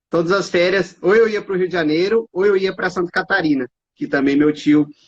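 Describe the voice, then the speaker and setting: At a fairly quick pace, a man talks in an unremarkable speaking voice pitched fairly high, with a dry, close sound and no echo. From Brazil, Mato Grosso (Cuiabá). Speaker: judge and law professor. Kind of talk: casual chat. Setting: Instagram live video.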